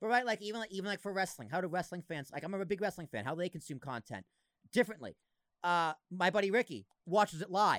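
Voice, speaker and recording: A man with a slight Boston accent talks at a very fast pace and a high pitch, with lively intonation and an animated tone. The recording is very clean, with a silent background and a dry, close sound with no echo. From Massachusetts. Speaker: podcast host. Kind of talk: casual chat.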